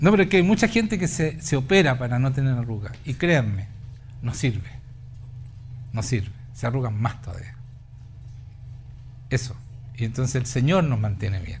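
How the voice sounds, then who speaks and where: A man with a Chilean accent, medium pitch, vocal fry and lively intonation, at a moderate pace with long, frequent pauses and audible room echo. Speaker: pastor. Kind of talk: sermon. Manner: animated.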